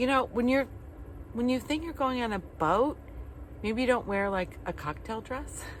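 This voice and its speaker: A woman's fairly high voice at a moderate pace, with lively intonation and long, frequent pauses. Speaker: van-dwelling travel vlogger. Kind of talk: casual storytelling vlog. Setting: campground. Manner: animated.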